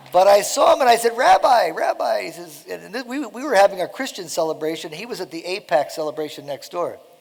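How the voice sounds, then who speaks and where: Against noticeable background noise, a high-pitched man talks very fast with hardly any pauses, very wide pitch swings and big swings in loudness. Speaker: mission founder speaking at church. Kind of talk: speech to church congregation. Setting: church service with audience.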